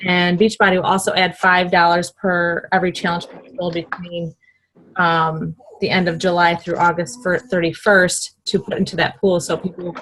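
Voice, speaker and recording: Monotone and flat in intonation, a woman speaks with a fairly low pitch. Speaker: fitness coach leading a team call. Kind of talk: team conference call recap. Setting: conference call. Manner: fast.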